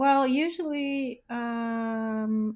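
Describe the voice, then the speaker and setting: A woman talks with a non-native accent at a fairly high pitch. The recording is very clean, the background silent. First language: not English. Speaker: musician. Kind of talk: casual interview chat. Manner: halting, searches for words.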